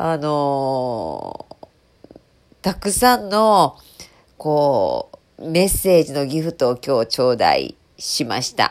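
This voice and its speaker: A very slow pace broken by long, frequent pauses. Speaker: HR radio host. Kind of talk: casual solo radio talk. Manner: casual, conversational with fillers.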